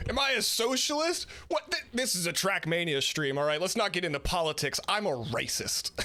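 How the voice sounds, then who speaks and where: Over noticeable background noise, a man talks in a raised, projected voice at a high pitch, with very wide pitch swings, a fairly quick pace, hardly any pauses and very even loudness. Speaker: streamer. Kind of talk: casual chat. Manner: animated.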